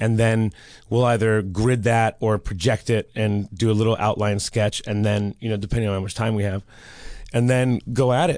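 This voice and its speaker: With an American accent, a man has an ordinary speaking voice at a fairly low pitch, keeping a moderate pace and fairly even intonation. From Los Angeles, London and Detroit. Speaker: artist. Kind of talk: casual chat.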